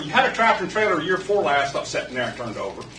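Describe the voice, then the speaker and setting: A man's high, raised and projected voice with an American accent, amid noticeable background noise and audible room echo. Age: 60s. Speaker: local resident speaking at public comment. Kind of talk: public comment at council meeting. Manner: animated.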